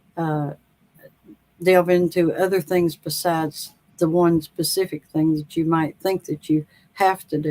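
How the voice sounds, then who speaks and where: A woman speaks in a North Carolina accent at a fairly low pitch. Her intonation is monotone and flat, and her pace is fairly slow. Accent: Southern, North Carolina accent somewhat. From US South, North Carolina. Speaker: author. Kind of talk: interview. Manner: halting, many fillers; slow, unhurried.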